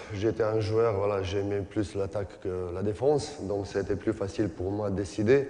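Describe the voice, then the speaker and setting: Against audible room echo, a man with a non-native accent and a fairly low pitch speaks at a fairly slow pace. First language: not French (speaking French). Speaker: basketball coach and former player. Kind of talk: coaching clinic lecture. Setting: conference hall with audience and interpreter. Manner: halting, many hesitations.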